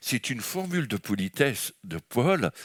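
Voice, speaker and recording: Very slow and set in a medium pitch, a man's voice swings very widely in pitch and shows vocal fry. The recording is very clean and silent behind him, with a dry, close sound and no echo. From France. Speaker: guest preacher. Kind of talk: sermon. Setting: church service. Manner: animated.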